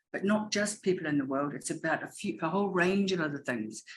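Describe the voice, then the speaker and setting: A woman's fairly low voice, very fast and full of lively intonation. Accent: New Zealand. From New Zealand. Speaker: educator and education consultant. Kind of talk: webinar presentation. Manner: animated; fast when excited.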